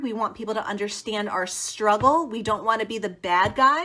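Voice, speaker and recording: A speaker with an American accent talks at a moderate pace, with ordinary pitch variation and a bright, sharp tone. The recording is very clean, with a silent background. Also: woman. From US Northeast. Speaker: teacher turned education consultant. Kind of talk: live stream talk to teachers.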